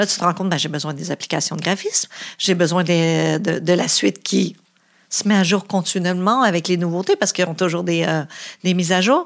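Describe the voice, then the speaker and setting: Vocal fry in a Quebec accent at a fairly quick pace, on a very clean recording with a silent background. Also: woman, fairly low pitch for a woman. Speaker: entrepreneur. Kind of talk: interview.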